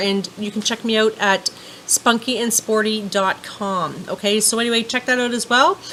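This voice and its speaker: A woman's fairly high, monotone voice with flat intonation, over noticeable background noise. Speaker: vlogger. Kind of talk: casual vlog talk to camera. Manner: fast; chatty, many fillers.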